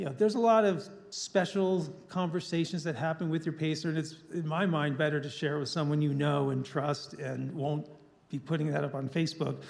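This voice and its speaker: This is an unremarkable speaking voice from a man, fairly high in pitch. He talks at a fairly quick pace. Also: ordinary pitch variation. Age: 60s. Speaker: ultramarathon runner. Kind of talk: public talk with Q&A.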